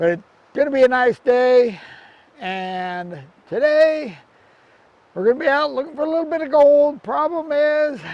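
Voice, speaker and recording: A man with an extremely high pitch talks at a moderate pace with lively intonation and long, frequent pauses. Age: 70s. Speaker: gold prospecting youtuber. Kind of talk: outdoor tutorial. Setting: outdoors by a creek. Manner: casual, conversational.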